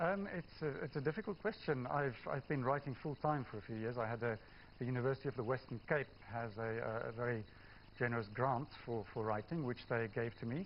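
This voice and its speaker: Fairly quick speech in a South African accent, with ordinary pitch variation. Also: man, medium pitch for a man. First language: Afrikaans. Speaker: novelist. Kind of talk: TV news interview. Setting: TV studio. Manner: hesitant, many fillers.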